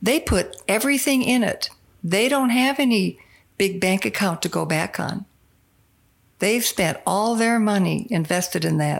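A woman speaks fairly slowly at a medium pitch, with lively intonation and vocal fry. Her loudness stays very even on a very clean recording with a silent background. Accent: American. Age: 70s. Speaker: retired English teacher. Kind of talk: casual chat.

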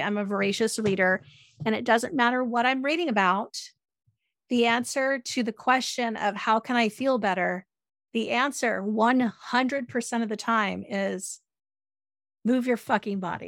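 On a very clean recording with a silent background, an unremarkable speaking voice moves at a moderate pace with ordinary pitch variation. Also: woman. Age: 50s. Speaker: self-care author and podcaster. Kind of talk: casual chat.

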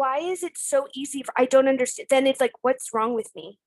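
Loud and high-pitched, a woman speaks in a dry, close recording with no echo. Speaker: YouTuber. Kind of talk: casual chat.

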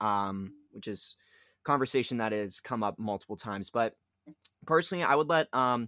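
A man with an American accent at a fairly quick pace, in a very clean recording with a silent background and a dry, close sound with no echo. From Pittsburgh area, Pennsylvania. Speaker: sports podcast co-host. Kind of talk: casual sports chat. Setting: home basement. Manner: halting, many fillers.

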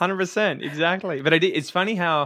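A male speaker with an Australian accent. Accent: general Australian. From Victoria, Australia (Ocean Grove near Geelong). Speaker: podcaster and English teacher. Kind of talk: casual interview.

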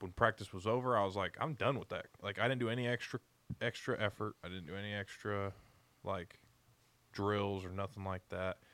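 A man's fairly low, bright, sharp voice at a fairly quick pace with fairly even intonation, in a very clean, dry, close recording with a silent background and no echo. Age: 20s. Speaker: podcast co-host. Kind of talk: casual chat. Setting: studio.

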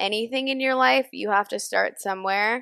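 A woman speaks in a normal speaking voice, fairly high in pitch with ordinary pitch variation. The recording is very clean and silent in the background, with a dry, close sound and no echo. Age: 20s. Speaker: podcast co-host. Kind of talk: casual chat.

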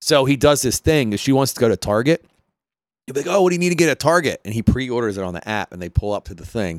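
A man with a Philadelphia accent, medium pitch and very wide pitch swings, talking at a very fast pace with big swings in loudness, in a very clean recording with a silent background and a dry, close sound with no echo. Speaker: podcast host. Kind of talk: casual chat.

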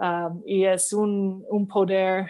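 Flat, monotone intonation from a woman speaking at a medium pitch. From Canada. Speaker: diplomat. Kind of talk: interview. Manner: halting.

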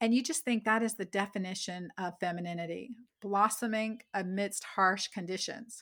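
A woman speaks in a normal speaking voice at medium pitch. Her delivery is moderately paced, with ordinary pitch variation. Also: very clean recording, silent background. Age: 50s. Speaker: physician and author. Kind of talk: interview.

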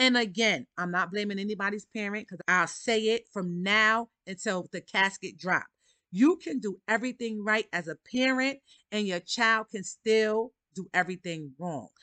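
With a New York accent, a woman speaks at a moderate pace in a medium pitch and a bright, sharp tone, using ordinary pitch variation. The sound is dry and close with no echo, against a quiet background. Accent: New York City. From Harlem, New York City. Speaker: podcast host. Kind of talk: casual monologue.

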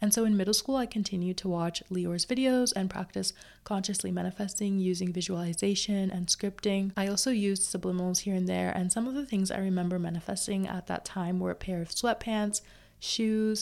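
In a very clean recording with a silent background, a woman uses an ordinary speaking voice with fairly even intonation. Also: medium pitch for a woman, fairly quick pace. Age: 20s. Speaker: podcast host and manifestation coach. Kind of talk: casual solo podcast talk. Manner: chatty, conversational.

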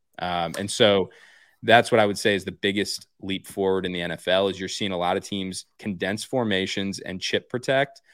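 In a normal speaking voice, a man talks at a moderate pace, fairly low in pitch and with fairly even intonation. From central Pennsylvania. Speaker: football coach. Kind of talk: casual chat. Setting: video call.

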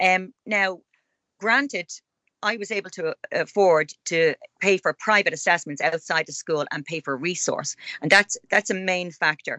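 With a Dublin accent, the speaker moves at a moderate pace with ordinary pitch variation and long, frequent pauses. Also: woman, medium pitch for a woman. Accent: Dublin Irish. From Ireland, Dublin. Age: 50s. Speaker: author and blogger. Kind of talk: interview.

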